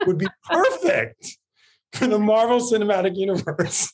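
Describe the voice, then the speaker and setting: Using lively intonation, a man with an American accent and a high-pitched voice speaks at a moderate pace. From New York. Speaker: entertainment podcast host. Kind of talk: casual interview chat. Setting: video call from office.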